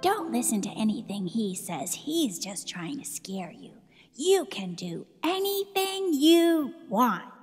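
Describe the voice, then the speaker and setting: A female-sounding put-on character voice, pitched fairly high, moves at a fairly slow pace with very wide pitch swings. Faint music plays in the background. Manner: warm, encouraging.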